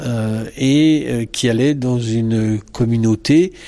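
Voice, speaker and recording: A man's voice with a dark, mellow tone. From France. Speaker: psychologist. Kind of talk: interview. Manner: halting.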